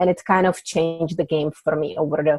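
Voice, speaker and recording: The speaker has a Czech accent and talks at a very fast pace with fairly even intonation. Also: woman. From Czech Republic. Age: 40s. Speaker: author. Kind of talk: podcast interview.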